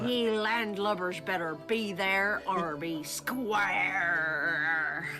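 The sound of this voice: A female-sounding, put-on character voice at a medium pitch for a woman, very slow in pace, over loud background noise.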